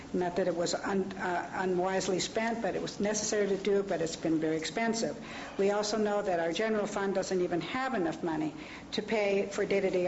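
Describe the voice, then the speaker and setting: With an American accent, a woman speaks at a fairly quick pace and medium pitch, her intonation fairly even and loudness very even, amid audible room echo and noticeable background noise. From US West, Los Angeles. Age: 60s. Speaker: public commenter at county meeting. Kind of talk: public comment speech. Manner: halting.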